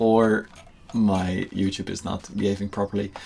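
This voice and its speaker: A man with a Dutch accent and a fairly low-pitched voice. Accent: Dutch accent, now getting stronger again. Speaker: gaming YouTuber. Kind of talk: casual gameplay commentary. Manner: relaxed, hesitant with many fillers.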